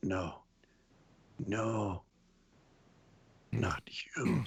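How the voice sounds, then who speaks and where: Pitched fairly low, a man performs in a put-on character voice. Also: ordinary pitch variation. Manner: muttering, almost unintelligible.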